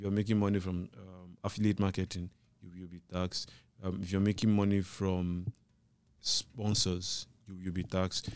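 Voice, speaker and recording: A man with a very deep, low pitch speaks at a moderate pace in a monotone, flat intonation, with big swings in loudness. The recording is very clean, with a silent background. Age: 30s. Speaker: tech journalist, podcast co-host. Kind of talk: casual chat.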